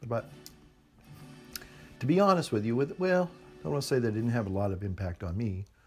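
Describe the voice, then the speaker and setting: A man's voice with very wide pitch swings, music in the background. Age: 60s. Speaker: pipe smoking video blogger. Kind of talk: casual monologue to camera. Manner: halting, hesitant.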